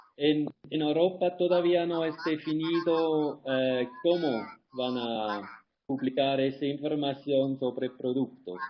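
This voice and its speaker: Speaking with a non-native accent, a man talks at a very slow pace in a fairly high pitch with ordinary pitch variation. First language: not Spanish (speaking Spanish). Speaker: environmental consultant. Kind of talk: webinar Q&A. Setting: online webinar. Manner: halting.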